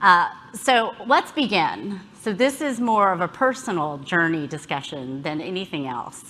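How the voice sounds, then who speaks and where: In a slight Southern US accent, the voice has a bright, sharp tone, very wide pitch swings and a fairly slow pace. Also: woman, medium pitch for a woman. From US South, Alabama. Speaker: health policy executive, keynote speaker. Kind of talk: conference talk. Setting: stage with audience.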